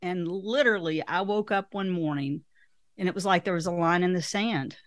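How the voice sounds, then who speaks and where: A woman speaks with a strong Southern US accent at a medium pitch with ordinary pitch variation. The recording is very clean with a silent background. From Arkansas, US South. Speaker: author and speaker, former financial advisor. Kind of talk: interview answers, conversational.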